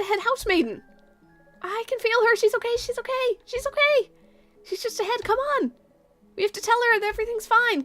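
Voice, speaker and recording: A woman puts on a squeaky character voice, talking at a fairly quick pace with long, frequent pauses over faint music in the background. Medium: game stream.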